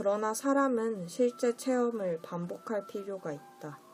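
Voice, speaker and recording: Her tone is dark and mellow, with ordinary pitch variation. The woman speaks at a very slow pace. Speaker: audiobook reader. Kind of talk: audiobook essay reading, ASMR-style bedtime narration.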